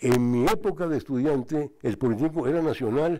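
A man's fairly high voice, dark and mellow in tone, moves at a moderate pace over a quiet background. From Mexico. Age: 80s+. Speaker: honoree, retired engineer and former institute director; guest. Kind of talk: speech. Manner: halting. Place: hall. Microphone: podium.

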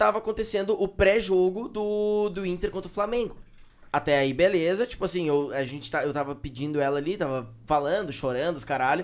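This male voice is pitched high and moves at a fairly quick pace. His pitch varies in an ordinary way. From Porto Alegre, southern Brazil; Rio Grande do Sul, Brazil. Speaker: podcast co-host. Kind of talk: casual chat. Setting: studio. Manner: fast when excited. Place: studio. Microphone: studio mic.

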